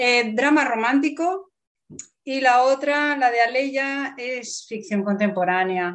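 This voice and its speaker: Speaking at a very slow pace, a woman uses lively intonation in a high pitch. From Spain. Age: 50s. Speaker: writer. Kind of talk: interview.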